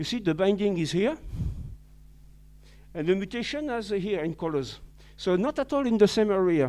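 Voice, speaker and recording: Dark, mellow male voice with lively intonation, moderate pace, long, frequent pauses, and a quiet background. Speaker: visiting scientist speaker. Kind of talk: lecture. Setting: webinar. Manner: halting, many fillers.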